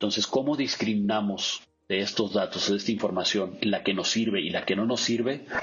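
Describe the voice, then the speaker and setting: With an unremarkable speaking voice, a man talks at a moderate pace in a fairly low pitch, his loudness very even. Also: fairly even intonation. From Mexico, Sinaloa. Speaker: business expert. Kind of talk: interview.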